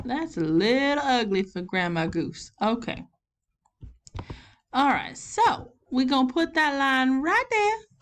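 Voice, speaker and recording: In a Southern US accent, a woman speaks at a high pitch with very wide pitch swings. Her pace is very slow, with long, frequent pauses. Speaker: elementary school teacher. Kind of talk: online math lesson for children. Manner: casual, encouraging.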